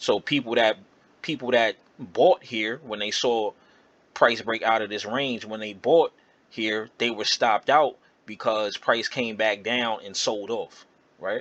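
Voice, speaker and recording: A man's unremarkable speaking voice at medium pitch, fairly slow and fairly even in intonation, with a dry, close sound and no echo. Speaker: trading educator. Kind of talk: tutorial.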